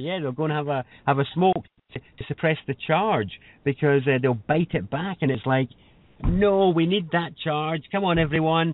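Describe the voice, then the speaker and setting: Noticeable background noise surrounds a man speaking with a Scottish accent. His pitch is fairly high for a man, with ordinary pitch variation. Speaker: spiritual teacher and workshop leader. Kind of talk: radio interview. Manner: fast.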